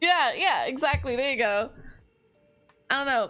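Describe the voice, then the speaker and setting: A strong Californian accent at a moderate pace with music in the background. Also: woman. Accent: heavy Californian. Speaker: gaming streamer. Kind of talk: casual gameplay livestream chat. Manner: frequent um and like fillers.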